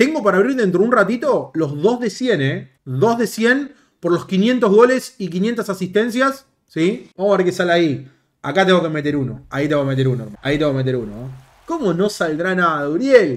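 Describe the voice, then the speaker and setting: Against a quiet background, a man with a Rioplatense accent speaks at a fairly quick pace in a high voice with very wide pitch swings. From Argentina. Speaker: gaming youtuber. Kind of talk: gameplay commentary. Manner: animated. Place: home room.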